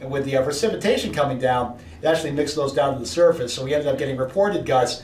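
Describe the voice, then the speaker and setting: A man with a US East Coast accent speaks at a very fast pace in a fairly high pitch. Noticeable background noise and audible room echo surround him. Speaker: meteorologist. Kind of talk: weather briefing presentation.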